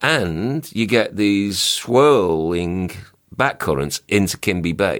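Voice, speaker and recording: A man at a very slow pace, lively in intonation, his loudness very even. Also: fairly low pitch for a man. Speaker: underwater photographer and dive travel writer. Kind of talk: casual interview chat.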